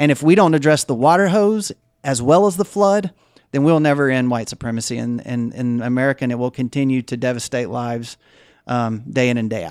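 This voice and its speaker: Speaking with a Mississippi accent, a man uses lively intonation at a medium pitch and a fairly quick pace on a very clean recording with a silent background. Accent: Southern US (Mississippi). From US South, Jackson, Mississippi. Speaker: anti-racism nonprofit leader. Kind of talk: interview.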